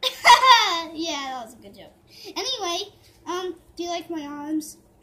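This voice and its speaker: The voice is a cartoonish character. It sits at an extremely high pitch. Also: fairly slow pace. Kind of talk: kid's homemade puppet play. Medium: puppet show. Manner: whiny, demanding, rambling.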